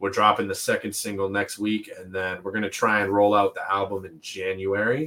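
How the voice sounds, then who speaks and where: A man with a Canadian accent speaks at a fairly quick pace with hardly any pauses, his fairly low voice carrying a bright, sharp tone, monotone, flat intonation and big swings in loudness. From Toronto, Canada. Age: 30s. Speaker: rapper and music producer. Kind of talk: interview.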